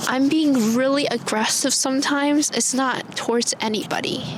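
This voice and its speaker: An animated voice at a moderate pace and very even loudness comes through noticeable background noise and audible room echo. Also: woman. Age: young. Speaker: podcast co-host. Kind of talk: casual chat. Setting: outdoors.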